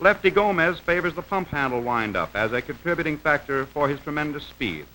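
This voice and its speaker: A man talks at a fairly quick pace in an ordinary speaking voice. His pitch sits fairly high. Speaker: newsreel narrator. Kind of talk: vintage newsreel-style instructional narration. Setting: old film soundtrack.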